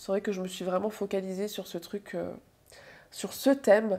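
Her dark, mellow tone comes through as the woman speaks at a moderate pace. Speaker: book vlogger. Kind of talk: casual vlog monologue. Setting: home video recording. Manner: casual, animated, self-deprecating. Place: home room.

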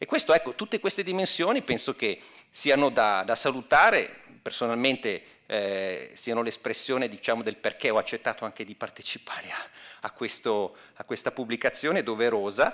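A man's bright, sharp tone with lively intonation, at a moderate pace over a quiet background. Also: big swings in loudness. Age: 50s. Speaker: academic, former historian; speaker. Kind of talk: speech. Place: hall. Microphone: podium.

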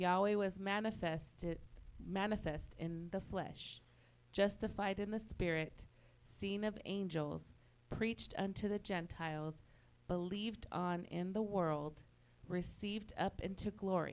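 Here is a woman with an ordinary speaking voice at a medium pitch. She talks at a fairly slow pace with fairly even intonation. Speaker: scripture reader. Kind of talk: reading aloud.

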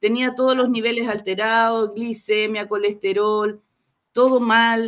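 Against a quiet background, a woman with a fairly high pitch talks at a fairly slow pace. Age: 50s. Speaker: program participant giving testimonial; guest. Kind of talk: testimony. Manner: halting. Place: home room.

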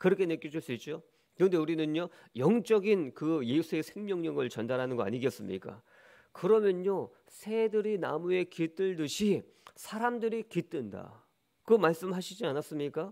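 Speaking at a moderate pace, a man uses a high pitch, lively intonation and an animated tone. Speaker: pastor. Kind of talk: sermon. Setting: church. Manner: animated, preaching style with rhetorical questions.

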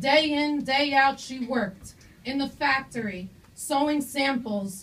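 Slowish and high-pitched, a woman speaks at a fairly slow pace with ordinary pitch variation. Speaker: student poet. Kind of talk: poetry reading. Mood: earnest, emotional. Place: stage. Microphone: camera far.

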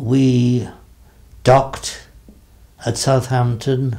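A man with an English accent speaks at a very slow pace against a quiet background. His medium-pitched voice is somewhat breathy, with a dark, mellow tone. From England. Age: 80s+. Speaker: war veteran, former army dentist. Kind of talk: interview answer. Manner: slow, hesitant. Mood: reflective, calm memory. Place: home room.

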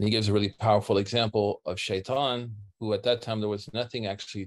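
A man's fairly low voice with fairly even intonation against a quiet background. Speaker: religious teacher. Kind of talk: lecture. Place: home room. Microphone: webcam.

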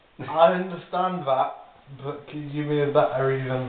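In an amused tone, the speaker goes at a moderate pace with fairly even intonation, amid audible room echo and light background noise. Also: man. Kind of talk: casual drunk banter. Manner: drunk, amused, loosely slurred. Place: home room. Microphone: phone near.

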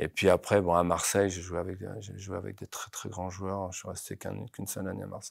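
Dry and echo-free against a quiet background, the voice runs at a fairly quick pace with monotone, flat intonation and vocal fry. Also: man, very deep, low pitch for a man. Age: 50s. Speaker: football coach. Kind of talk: interview. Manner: halting, many repetitions. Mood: calm, passionate, reflective. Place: studio. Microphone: lapel.

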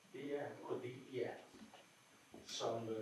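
At a very slow pace, a man speaks amid light background noise and audible room echo. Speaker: salon host. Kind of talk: casual chat. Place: home room. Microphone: camera far.

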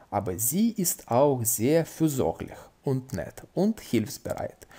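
A man speaks at a very slow pace. His voice is somewhat breathy, with very wide pitch swings. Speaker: language-learning YouTuber. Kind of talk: casual tutorial, reading and translating a book. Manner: informal, chatty, with fillers.

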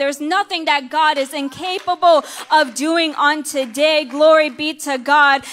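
Speaking at a moderate pace, a woman holds a high pitch in a monotone, flat intonation. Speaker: minister preaching. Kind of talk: sermon. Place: church. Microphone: handheld.

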